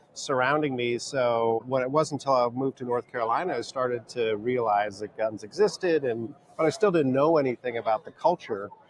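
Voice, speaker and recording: A man talks at a fairly quick pace with hardly any pauses. His medium pitch shows ordinary variation over noticeable background noise. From California. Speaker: sociology professor. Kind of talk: podcast interview.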